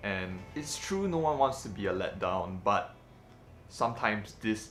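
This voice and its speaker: Spoken in an American accent, the voice has ordinary pitch variation. It moves at a fairly slow pace with audible room echo. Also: man. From Malaysia. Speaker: vlogger and filmmaker. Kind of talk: personal vlog talking to camera. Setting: alone talking to a camera. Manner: casual with hesitations and fillers.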